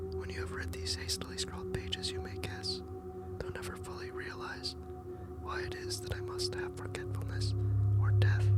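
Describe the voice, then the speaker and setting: Someone whispers at a moderate pace with music in the background. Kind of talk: whispered ASMR horror story reading. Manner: whispered.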